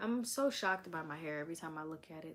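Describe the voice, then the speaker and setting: A soft-spoken woman with an American accent talks at a fairly quick pace in a fairly low pitch. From Delaware, US. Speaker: vlogger. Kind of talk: casual chat. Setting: live stream.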